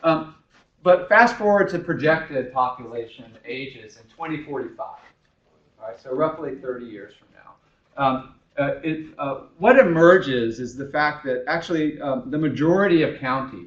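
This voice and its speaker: A man's fairly high voice at a moderate pace, with big swings in loudness and audible room echo. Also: lively intonation. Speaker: professor. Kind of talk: lecture. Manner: halting.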